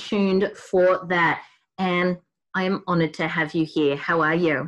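A woman's medium-pitched voice with a strong Australian accent at a moderate pace. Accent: broad Australian. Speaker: podcast host. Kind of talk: podcast interview. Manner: enthusiastic.

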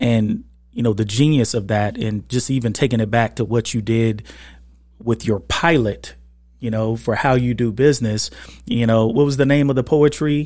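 The recording is very clean with a silent background, and a man uses an unremarkable speaking voice at a medium pitch. He keeps a moderate pace and fairly even intonation. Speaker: podcast host.

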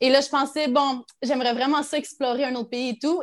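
Speaking with a Quebec accent, a woman keeps a moderate pace. The recording is very clean with a silent background. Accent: Québécois. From Quebec, Abitibi. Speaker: teacher and content creator. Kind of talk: casual chat.

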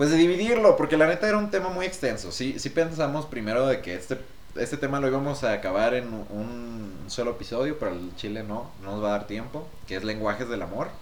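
Amid noticeable background noise and audible room echo, a man talks at a very fast pace with very wide pitch swings. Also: medium pitch for a man. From Mexico. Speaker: podcast co-host. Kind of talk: casual chat. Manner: animated.

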